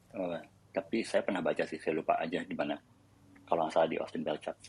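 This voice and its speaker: Recorded with a dry, close sound and no echo, a man speaks. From Indonesia. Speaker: tech company employee sharing career advice. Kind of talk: casual panel discussion on audio chat room. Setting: online audio chat room.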